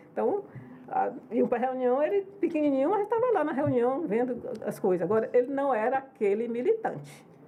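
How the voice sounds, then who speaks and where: Holding a very even loudness, a woman speaks at a moderate pace with a high pitch that swings very widely. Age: 70s. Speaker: politician, former state governor. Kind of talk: podcast interview. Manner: conversational, informal.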